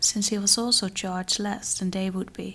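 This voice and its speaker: Soft-spoken and somewhat breathy, a woman talks at a medium pitch. Her pace is moderate. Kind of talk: fairytale story reading.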